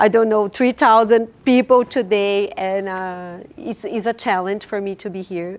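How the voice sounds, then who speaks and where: Fairly slow, medium-pitched female speech with a Portuguese accent, ordinary pitch variation, big swings in loudness and hardly any pauses, over a quiet background. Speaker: finance entrepreneur, platform founder. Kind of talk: panel discussion. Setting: stage with audience at dinner event.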